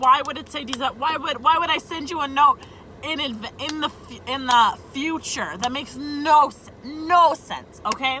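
A woman speaks in a raised, projected voice at a high pitch, a fairly slow pace, ordinary pitch variation, and big swings in loudness. The sound is dry with no echo, with light background noise. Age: 20s. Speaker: vlogger. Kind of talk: rant to camera. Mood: annoyed, exasperated. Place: car. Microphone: phone near.

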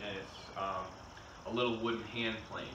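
A man speaks in a monotone with flat intonation at a moderate pace. There is noticeable background noise. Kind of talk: tutorial. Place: workshop. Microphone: camera far.

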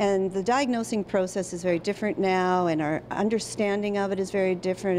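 Speaking with a Canadian accent at a fairly quick pace, a woman has a normal speaking voice and fairly even intonation, with light background noise behind her. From Saskatchewan, Canada (Regina). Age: 50s. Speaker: physician and café owner. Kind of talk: TV interview. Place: cafe. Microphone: handheld.

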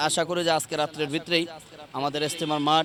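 Through noticeable background noise comes a man's fairly high-pitched voice. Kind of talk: on-location report and street interviews. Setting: outdoors at a large religious gathering site by the road.

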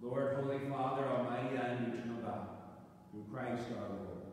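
Strong room echo and light background noise surround a man speaking in a medium pitch with fairly even intonation. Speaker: priest. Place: church.

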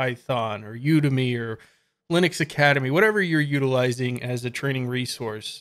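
The man's pitch varies in an ordinary way as he speaks at a moderate speed. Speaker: coding channel host. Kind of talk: screen-share tutorial commentary. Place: home room.

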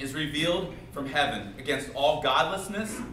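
A man's voice carries audible room echo and light background noise. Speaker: speaker. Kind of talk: sermon. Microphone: camera far.

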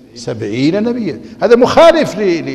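At a moderate pace, a man talks with a Moroccan accent. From Morocco. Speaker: Islamic scholar and preacher; preacher. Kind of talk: religious lecture.

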